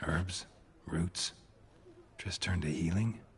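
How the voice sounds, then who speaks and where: Putting on a character voice, a man speaks at a very deep, low pitch in a deadpan tone. His pace is fairly slow. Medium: video game. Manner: terse, dry, deadpan.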